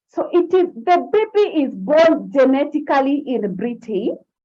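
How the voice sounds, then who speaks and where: A woman speaks with a non-native accent. Her pitch is high and swings very widely. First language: not English. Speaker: forex trading and mindset coach. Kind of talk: online class on a live stream. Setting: live stream on social media. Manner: animated.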